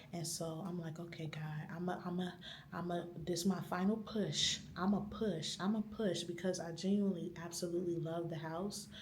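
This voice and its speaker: A woman whispers at a moderate pace. Noticeable background noise and audible room echo surround her. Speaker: vlogger. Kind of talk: vlog monologue. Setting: library. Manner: whispering.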